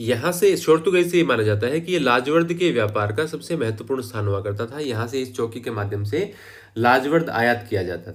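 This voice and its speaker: Audible room echo surrounds speech at a moderate pace, with lively intonation and hardly any pauses. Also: man, medium pitch for a man. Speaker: history teacher. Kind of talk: lecture.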